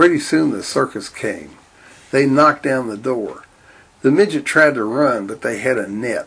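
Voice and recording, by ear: Someone is reading aloud in a natural voice.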